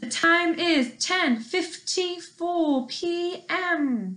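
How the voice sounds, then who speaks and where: This put-on character voice sits at an extremely high pitch. It moves at a very slow pace. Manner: flat, mechanical.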